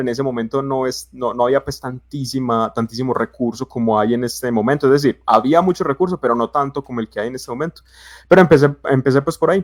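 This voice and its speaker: This man talks at a very fast pace with an Antioquian accent, his fairly high pitch showing ordinary variation in a dry, close sound with no echo. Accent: paisa (Antioquia) Colombian Spanish. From Colombia, Medellín (paisa). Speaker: BIM consultant, civil engineer. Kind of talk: casual podcast chat. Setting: live stream. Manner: hesitant, many fillers.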